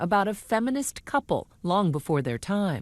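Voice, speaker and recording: With lively intonation and a medium pitch, a woman speaks at a moderate pace in an ordinary speaking voice. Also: quiet background. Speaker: TV news correspondent. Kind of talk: TV news report.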